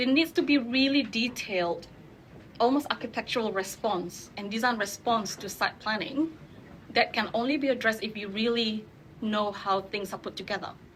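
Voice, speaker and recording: A woman speaks with a non-native accent at a moderate pace. Her fairly high pitch shows ordinary variation. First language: not English. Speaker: urban designer. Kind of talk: panel discussion.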